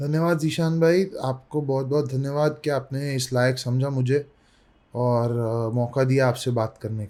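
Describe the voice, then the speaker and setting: A man speaks with a dark, mellow tone at a medium pitch. His intonation stays fairly even. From Mumbai, India. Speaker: youth politician. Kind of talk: interview. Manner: frequent hesitations (uh).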